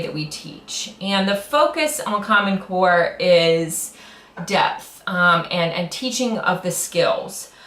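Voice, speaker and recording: A woman's very slow speech with lively intonation and audible room echo. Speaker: middle school teacher. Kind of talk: grant request presentation. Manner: loud; hesitant, many fillers.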